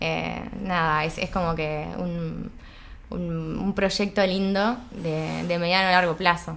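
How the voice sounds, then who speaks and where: Very slowly, a woman with a fairly low pitch speaks in fairly even intonation. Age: 30s. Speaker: chemical engineer and entrepreneur. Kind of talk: casual interview chat. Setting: at her home. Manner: halting, many repetitions.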